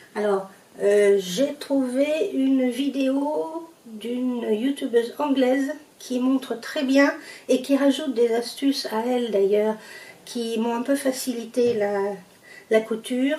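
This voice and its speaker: Noticeable background noise sits under a woman's high voice. She speaks very slowly, with ordinary pitch variation. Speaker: sewing youtuber. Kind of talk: sewing tutorial. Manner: hesitant, many fillers; casual, conversational.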